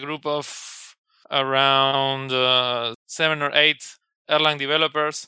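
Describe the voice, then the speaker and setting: A man's fairly high-pitched voice in a flat monotone. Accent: Spanish. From Argentina. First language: Spanish. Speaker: software engineer. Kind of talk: interview.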